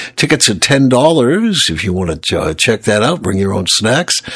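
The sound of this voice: A man talks with big pitch swings. His voice is gravelly, with a fairly bright tone.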